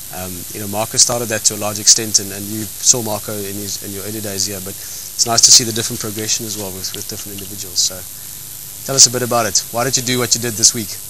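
Over noticeable background noise, a man with a fairly low pitch speaks very fast in a monotone, flat way, with big swings in loudness and a dry sound with no echo. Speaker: host. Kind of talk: casual chat. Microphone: handheld.

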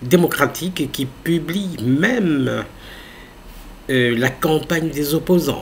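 The speaker is male. Some slight noise sits in the background. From DR Congo. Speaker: YouTube news channel host; political commentator. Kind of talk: casual commentary. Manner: hesitant, filler-heavy. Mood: earnest, persuasive. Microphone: webcam.

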